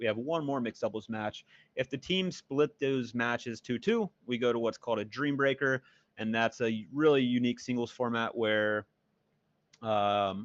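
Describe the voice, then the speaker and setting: A man talks at a medium pitch with fairly even intonation. The sound is dry and close with no echo, over a quiet background. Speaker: pickleball commentator. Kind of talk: live commentary. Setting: remote commentary over a muted broadcast. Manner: loud.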